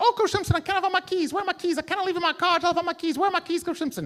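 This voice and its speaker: A man puts on a character voice at an extremely high pitch. He rattles along at a very fast pace. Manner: frantic, flustered.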